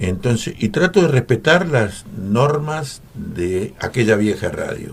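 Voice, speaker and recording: Over noticeable background noise, a man at a medium pitch talks very slowly with very wide pitch swings. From Argentina, Coronel Dorrego, Buenos Aires province. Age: 80s+. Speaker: veteran radio announcer and journalist. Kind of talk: radio interview. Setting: radio studio.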